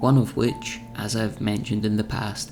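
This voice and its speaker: With music in the background, a man in a Scottish accent talks at a fairly slow pace with a fairly low pitch. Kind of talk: reflective vlog voice-over.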